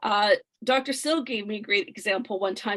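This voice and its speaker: A woman's fairly high pitch with ordinary pitch variation. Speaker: direct sales distributor sharing testimony. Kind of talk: testimony.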